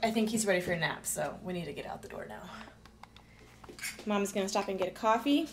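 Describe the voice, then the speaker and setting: Over noticeable background noise, a woman speaks in a raised, projected voice. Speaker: mother vlogger. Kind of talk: casual vlog chat. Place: home room. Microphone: phone near.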